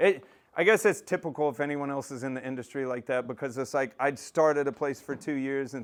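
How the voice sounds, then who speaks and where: An animated man speaks with an American accent and a fairly high pitch, with ordinary pitch variation. The recording is very clean, with a silent background. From Texas, north of Dallas. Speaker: aquarium maintenance business owner. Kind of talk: casual presentation. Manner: loud.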